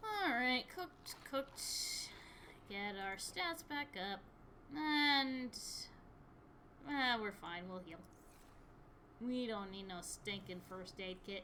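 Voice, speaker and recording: Speaking with an American accent, the voice moves at a very slow pace with long, frequent pauses and very wide pitch swings. Background noise is noticeable. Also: woman, fairly high pitch for a woman. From US Midwest, Michigan. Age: 20s. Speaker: gaming streamer. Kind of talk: casual gameplay chat.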